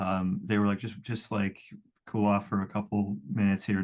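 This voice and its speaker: At a fairly slow pace, a man talks in a fairly low pitch with monotone, flat intonation. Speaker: singer and songwriter, client. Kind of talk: casual interview. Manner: halting, many fillers.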